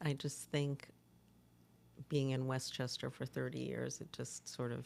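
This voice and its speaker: Recorded very cleanly against a silent background, a woman speaks at a fairly slow pace with an American accent. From New York City, Brooklyn. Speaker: nonprofit executive director. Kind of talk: interview.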